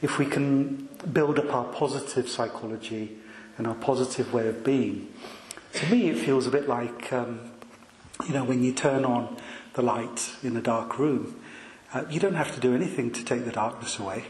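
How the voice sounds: A soft-spoken man at a medium pitch with a slightly mellow tone, ordinary pitch variation, a moderate pace and audible room echo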